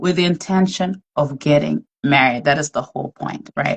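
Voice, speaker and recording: A woman speaks with a very deep, low pitch and vocal fry. The sound is dry and close, with no echo. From outside the US. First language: not English. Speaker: podcast host. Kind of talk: faith-based casual discussion. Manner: conversational with many fillers.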